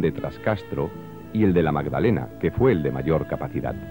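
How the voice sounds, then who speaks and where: Against music in the background, a man speaks at a moderate pace with very wide pitch swings. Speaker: voice-over narrator. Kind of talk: documentary narration.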